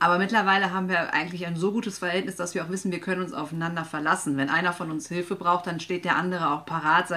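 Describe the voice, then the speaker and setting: Over noticeable background noise, a woman with a fairly low pitch and fairly even intonation talks at a very fast pace with hardly any pauses. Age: 30s. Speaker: guest radio presenter. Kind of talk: scripted radio presentation.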